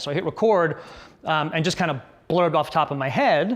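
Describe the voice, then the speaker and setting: Talking very fast, a man uses a fairly high pitch. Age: 40s. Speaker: business consultant. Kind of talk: casual talk to camera. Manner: casual, many fillers. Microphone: lapel mic now; later part roomy with echo.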